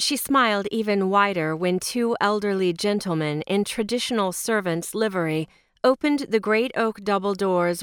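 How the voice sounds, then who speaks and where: Here is an unremarkable speaking voice from a woman, medium in pitch with ordinary variation and at a moderate pace. The recording is very clean, with a silent background and a dry, close sound with no echo. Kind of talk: audiobook narration of a romance novel. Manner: measured, expressive storytelling pace; shifts tone between narration and dialogue.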